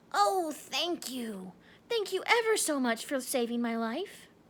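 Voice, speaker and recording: A woman puts on a squeaky character voice, pitched high. She speaks at a fairly slow pace. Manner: grateful.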